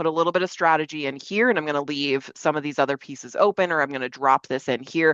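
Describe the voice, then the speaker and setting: A woman's very deep, low voice at a fairly quick pace. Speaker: enablement practitioner, panelist. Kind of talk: webinar panel presentation. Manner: fast; casual, filler-heavy.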